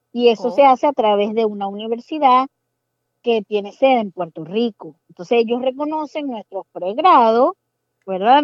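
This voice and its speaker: In a Zulian accent, a woman with a fairly high pitch speaks at a moderate pace with lively intonation. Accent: Venezuelan Spanish, Zulian (voseo). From Venezuela, Maracaibo. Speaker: pediatrician working as medical assistant. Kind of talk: casual interview.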